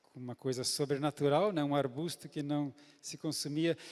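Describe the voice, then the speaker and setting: A man talks at a fairly slow pace in a fairly high voice. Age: 60s. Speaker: pastor. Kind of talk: sermon. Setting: church.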